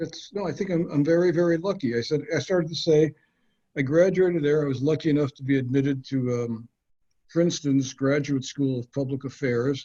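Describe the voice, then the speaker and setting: A man with a fairly high pitch, ordinary pitch variation, a somewhat breathy quality and an American accent. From Minnesota, north Minneapolis. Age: 70s. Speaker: housing attorney. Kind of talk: interview. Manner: halting.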